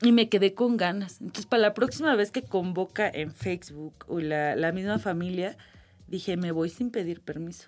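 Over a very clean, silent background, a woman with a normal speaking voice talks at a moderate pace. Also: medium pitch for a woman, lively intonation. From Mexico, Irapuato, Guanajuato. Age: 30s. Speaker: activist searching for missing relatives. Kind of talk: interview testimony.

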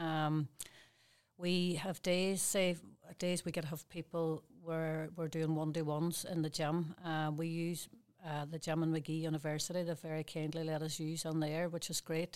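Delivered in a Derry accent, the speech has a monotone, flat intonation. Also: woman, very deep, low pitch for a woman, moderate pace. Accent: Northern Irish (Derry). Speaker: fitness business owner and personal trainer. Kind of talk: interview. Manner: halting.

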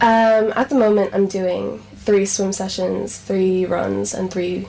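Noticeable background noise under a voice with an American accent. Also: woman. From US (Phoenix, Arizona). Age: young. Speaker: triathlete. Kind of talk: interview.

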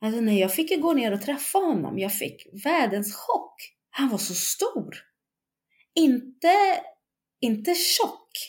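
She uses very wide pitch swings. A woman's voice with vocal fry. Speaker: bereaved mother. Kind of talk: testimony.

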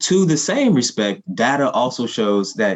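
A man speaks in a normal speaking voice with an American accent. His intonation is lively and his pace moderate. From US Midwest, Ferguson Missouri. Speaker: professor and nonprofit director. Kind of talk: interview.

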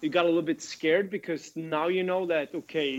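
A man with a Swedish accent speaks with a fairly high pitch. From Sweden. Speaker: former ice hockey player. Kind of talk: casual interview chat.

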